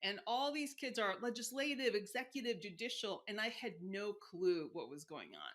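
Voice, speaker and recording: A woman's normal speaking voice in an American accent, fairly high in pitch, with lively intonation, a moderate pace and hardly any pauses. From Mexico City, Chicago and south Texas. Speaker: insurance executive and career strategist. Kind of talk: interview conversation. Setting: podcast interview.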